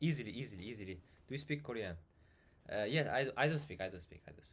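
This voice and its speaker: A man talks at a very fast pace in a medium pitch, somewhat breathy, with lively intonation and big swings in loudness. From Uzbekistan. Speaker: software developer streamer. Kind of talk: live coding stream chat. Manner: halting.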